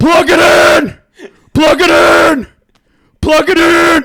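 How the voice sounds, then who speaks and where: A man shouts in a put-on character voice at an extremely high pitch. His pace is very slow. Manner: screaming, frantic.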